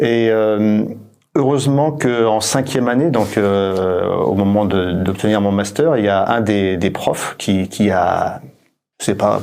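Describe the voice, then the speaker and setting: This man has a fairly low-pitched voice with ordinary pitch variation. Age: 60s. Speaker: company founder and director. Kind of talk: interview. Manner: halting, many hesitations.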